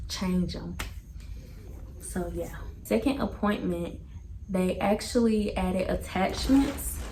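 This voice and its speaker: Amid noticeable background noise and audible room echo, a woman speaks at a very slow pace with long, frequent pauses. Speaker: family vlogger. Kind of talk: casual Q&A vlog. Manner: casual, chatty.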